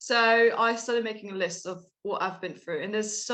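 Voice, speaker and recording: With ordinary pitch variation, the woman talks at a fairly quick pace. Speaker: researcher and guest speaker. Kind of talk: talk to online audience. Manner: fast.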